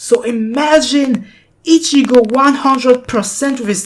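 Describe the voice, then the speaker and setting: In a non-native accent, the speaker talks at a very slow pace. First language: not English. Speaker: anime commentary youtuber. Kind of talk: casual commentary monologue. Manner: halting.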